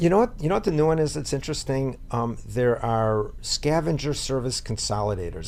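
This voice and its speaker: Audible room echo around a man's fairly quick delivery. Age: 60s. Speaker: real estate investor and property manager. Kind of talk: interview. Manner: halting.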